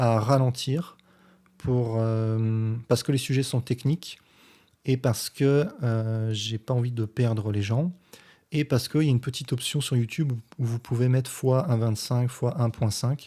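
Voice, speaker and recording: A man at a fairly slow pace, medium-pitched, with fairly even intonation. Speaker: physics teacher and science youtuber. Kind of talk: response video commentary explaining physics. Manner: deliberately slow; hesitant, many filler sounds.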